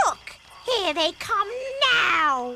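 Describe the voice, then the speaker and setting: A female-sounding cartoonish character voice at an extremely high pitch. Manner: authoritative, orderly.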